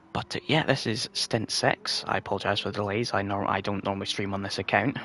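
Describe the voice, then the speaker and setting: Speaking at a fairly quick pace, a man uses a fairly low pitch with fairly even intonation. There is noticeable background noise. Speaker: sim racing commentator. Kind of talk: live commentary. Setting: home livestream at night. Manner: quiet.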